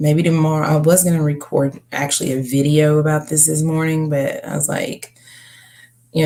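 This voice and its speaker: A woman's very deep, low, somewhat breathy mumble, dark and mellow in tone, at a moderate pace with fairly even intonation. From Kentucky. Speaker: live streamer and home health worker. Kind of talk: casual live stream chat. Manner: mumbling.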